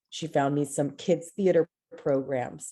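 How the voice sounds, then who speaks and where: With an American accent, a woman speaks fairly slowly in a dark, mellow tone. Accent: Texan American English, Mexican American. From Texas, Houston. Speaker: theater director. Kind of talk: interview.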